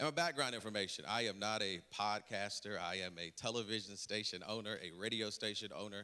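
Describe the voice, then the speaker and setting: A man speaks in a fairly low voice with a Southern US accent and ordinary pitch variation. His pace is fairly quick, with hardly any pauses. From North Carolina, Rocky Mount. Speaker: city council candidate. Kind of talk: candidate forum introduction.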